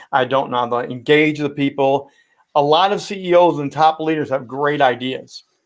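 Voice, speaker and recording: This speaker has a Midwestern American accent and fairly even intonation. The recording is very clean, with a silent background. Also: man, fairly high pitch for a man, moderate pace. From Indiana, US Midwest. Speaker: sportscaster and speaking coach. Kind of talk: interview.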